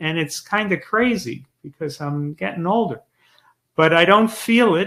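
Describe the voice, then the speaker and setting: The recording is very clean, with a silent background. A man speaks at a fairly slow pace, high-pitched, with a bright, sharp tone. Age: 60s. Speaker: author and former sitcom writer. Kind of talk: interview.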